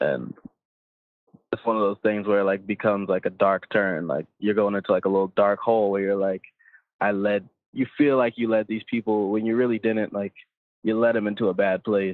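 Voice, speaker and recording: A man with a New York accent speaks at a fairly quick pace. His pitch sits fairly low and his intonation stays fairly even. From Long Island, New York. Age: 20s. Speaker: rapper. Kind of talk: casual interview.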